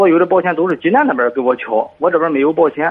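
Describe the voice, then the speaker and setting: A man at a very fast pace, with a fairly high pitch and ordinary pitch variation. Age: 30s. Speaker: parent caller. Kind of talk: call-in advice. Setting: phone call.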